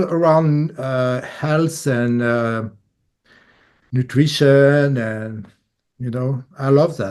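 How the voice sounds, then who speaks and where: A man's very slow speech with a strong French accent, fairly high in pitch, dark and mellow in tone, with ordinary pitch variation. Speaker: bassist, musician. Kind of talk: casual interview. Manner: halting English.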